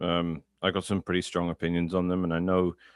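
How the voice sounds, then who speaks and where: The speech moves at a fairly quick pace with a dry, close sound and no echo. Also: man. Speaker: Bitcoin commentator. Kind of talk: casual chat.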